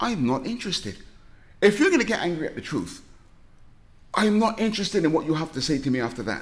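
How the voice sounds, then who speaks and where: With a British accent, a man talks at a very fast pace in an animated tone, his high pitch making very wide swings between long, frequent pauses. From southern England (Reading), Barbadian family. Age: 60s. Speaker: comic book creator and stand-up comedian. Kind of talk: podcast interview.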